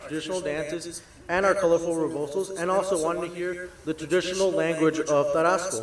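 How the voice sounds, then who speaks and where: Amid noticeable background noise, a man with an American accent speaks at a fairly quick pace in a high pitch with fairly even intonation. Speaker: scholarship recipient. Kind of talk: prepared speech.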